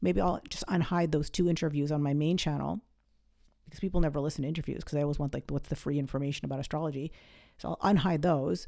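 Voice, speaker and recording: An animated tone comes in an American accent at a very fast pace. Pitch variation is ordinary, while loudness swings widely. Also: woman, very deep, low pitch for a woman. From New England. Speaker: astrologer podcast host. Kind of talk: casual monologue.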